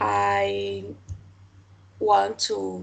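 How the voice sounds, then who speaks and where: A woman with a Portuguese accent speaks at a very deep, low pitch with fairly even intonation. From Brazil. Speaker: language student. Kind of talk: casual chat. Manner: halting.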